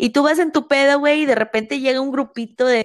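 A woman's high-pitched, animated voice with a Mexican accent, at a moderate pace, in a dry, close sound with no echo. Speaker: podcast co-host. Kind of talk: casual chat.

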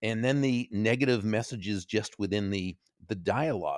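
Lively intonation marks this man's fairly low voice, an ordinary speaking voice. The recording is very clean, with a silent background. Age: 60s. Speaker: author and speaker. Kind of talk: interview.

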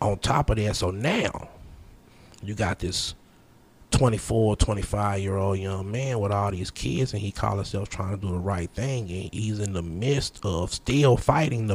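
Delivered at a fairly slow pace, an ordinary speaking voice shows ordinary pitch variation. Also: man. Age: 30s. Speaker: podcast guest. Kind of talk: casual chat.

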